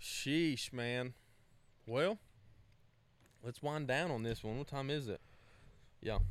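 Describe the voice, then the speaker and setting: A man speaks in a Southern US accent at a medium pitch, with ordinary pitch variation. His pace is very slow and his pauses are long and frequent. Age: 20s. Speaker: podcast host. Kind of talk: casual chat.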